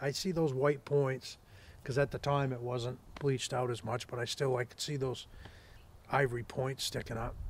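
Over light background noise, a man speaks at a moderate pace in a somewhat breathy voice. His intonation is monotone and flat, and the sound is dry with no echo. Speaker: hunting guide. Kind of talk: storytelling. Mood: relaxed, amused. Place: open country.

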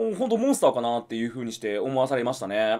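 Very fast speech from a man with very wide pitch swings, against a quiet background. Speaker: YouTube movie reviewer. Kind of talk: casual monologue review. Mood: disappointed, irritated. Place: home room.

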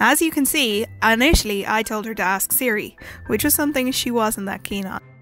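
A woman with an Irish accent speaks at a fairly quick pace in a fairly high pitch, her intonation lively, with music playing in the background. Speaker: beauty vlogger's friend doing voiceover. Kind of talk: casual voiceover commentary on makeup tutorial.

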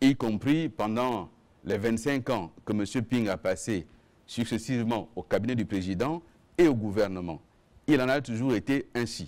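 A man speaks fairly slowly, his pitch moving in an ordinary way. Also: medium pitch for a man. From Gabon. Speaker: government minister and spokesperson; government minister, spokesperson. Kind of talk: press conference. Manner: formal. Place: meeting room.

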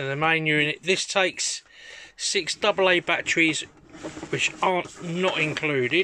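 A man's high-pitched voice with fairly even intonation over light background noise. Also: fairly slow pace. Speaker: toy seller. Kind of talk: product description for sale listing. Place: home room. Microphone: phone near.

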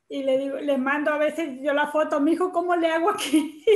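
Against a quiet background, a woman with a high pitch speaks at a moderate pace with fairly even intonation, and the room echo is audible. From Tlaxcala, Mexico. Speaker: special education teacher. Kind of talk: casual spoken comment in online class. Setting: video call. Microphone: video call.

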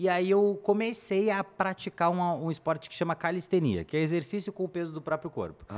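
The delivery moves at a fairly quick pace with fairly even intonation and hardly any pauses. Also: man, high pitch for a man. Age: 20s. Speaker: paid ads specialist; podcast guest. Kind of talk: casual interview chat. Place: studio. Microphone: studio mic.

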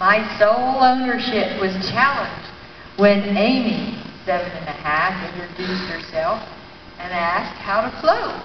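A woman talks at a fairly slow pace with ordinary pitch variation. Her loudness swings widely, and background noise is noticeable. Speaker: reader in a staged play reading. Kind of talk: play reading. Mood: warm, reflective. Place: hall.

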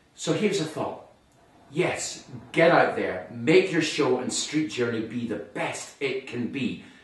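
A man speaks at a fairly slow pace. Audible room echo surrounds his voice. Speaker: presenter. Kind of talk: direct-to-camera promotional talk. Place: studio.

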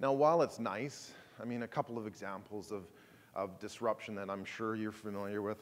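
A man with a plain, everyday voice talks at a fairly quick pace, his pitch fairly low. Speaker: conference keynote speaker. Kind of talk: presentation talk. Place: hall.

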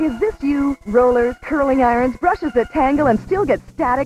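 The speech moves at a moderate pace. The sound is dry with no echo, with noticeable background noise. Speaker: infomercial announcer. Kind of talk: advertising voice-over. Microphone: old recording.

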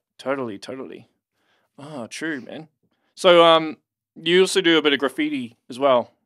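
With a New Zealand accent, a man talks at a moderate pace in a fairly high voice, his pitch varying in an ordinary way, his loudness swinging widely, and his speech broken by long, frequent pauses against a quiet background. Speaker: podcast host. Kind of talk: casual interview chat. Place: studio. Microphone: studio mic.

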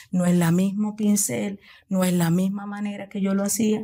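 A woman's medium-pitched, dark and mellow voice, somewhat breathy, fairly even in intonation, at a fairly slow pace. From Venezuela, Coro, Falcón state. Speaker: nail technician and entrepreneur. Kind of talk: interview.

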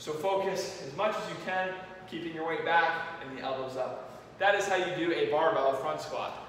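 There is strong room echo and light background noise. A man speaks at a moderate pace, his pitch high with ordinary pitch variation. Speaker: fitness coach. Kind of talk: tutorial. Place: gym.

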